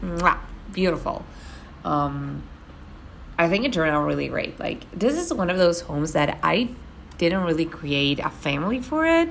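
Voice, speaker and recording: Audible room echo surrounds a woman with a Spanish accent who talks at a moderate pace, broken by long, frequent pauses. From Argentina. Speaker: gaming YouTuber. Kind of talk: voiceover commentary. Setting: voiceover recording at home. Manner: casual, many fillers and repetitions.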